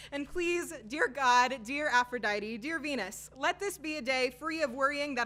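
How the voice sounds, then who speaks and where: The speaker uses a raised, projected voice at a moderate pace with ordinary pitch variation over noticeable background noise. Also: woman. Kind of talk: spoken word poetry performance. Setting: live open mic.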